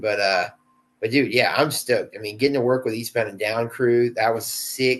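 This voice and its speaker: This man has a plain, everyday voice at a medium pitch with an American accent. He talks at a moderate pace. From South Carolina, US South. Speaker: actor. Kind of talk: casual interview chat. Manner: casual, laid-back with many fillers.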